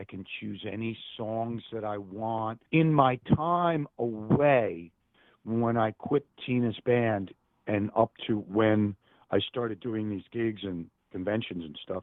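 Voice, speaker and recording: A man with a medium-pitched voice speaks very slowly, with ordinary pitch variation and big swings in loudness. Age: 60s. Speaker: musician. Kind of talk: casual chat.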